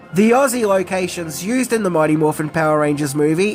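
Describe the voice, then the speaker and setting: Someone talks with an Australian accent while music plays in the background. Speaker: YouTube commentator. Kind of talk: casual commentary narration.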